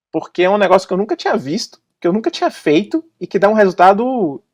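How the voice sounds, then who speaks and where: A man speaks in an animated tone with a Bahian accent, his pitch swinging very widely. The sound is dry and close, with no echo. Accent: Brazilian Portuguese, Bahian. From Brazil, Salvador (Bahia). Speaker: advertising copywriter. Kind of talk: podcast interview. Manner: casual, animated.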